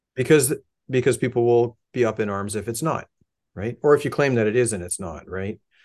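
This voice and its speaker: A man speaks with a Canadian accent, at a medium pitch and a fairly quick pace, in a normal speaking voice. His loudness swings widely, his pitch varies in an ordinary way, and the background is quiet. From Canada, Hamilton, Ontario. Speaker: musician and model builder. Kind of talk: casual chat.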